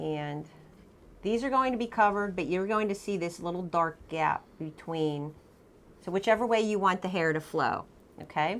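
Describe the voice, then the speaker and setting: At a moderate pace, a woman speaks in an ordinary speaking voice at medium pitch, with ordinary pitch variation. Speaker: painting teacher. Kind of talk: tutorial. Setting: art studio.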